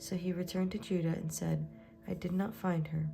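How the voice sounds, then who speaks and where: Soft-spoken and with a gentle tone, a woman talks at a fairly slow pace as music plays in the background. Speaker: Bible reader / ASMR channel host. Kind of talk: soft-spoken Bible reading, read-along. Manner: soft-spoken, gentle, slow with some pauses.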